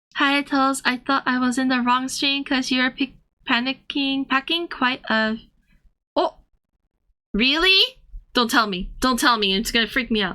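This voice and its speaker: A woman speaks in a raised, projected voice with a bright, sharp tone and high pitch. Her pitch varies in an ordinary way, broken by long, frequent pauses. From Thailand (ethnically Korean). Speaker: streamer and artist. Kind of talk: casual chat with live chat readers. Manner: halting, with fillers and restarts.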